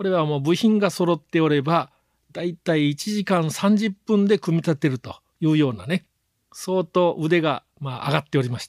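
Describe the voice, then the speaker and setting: Lively intonation in a dry, close sound with no echo, on a very clean recording with a silent background. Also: man. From Japan, Kurume area of Fukuoka (Kyushu). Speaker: business consultant and lecturer. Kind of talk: autobiographical talk to camera.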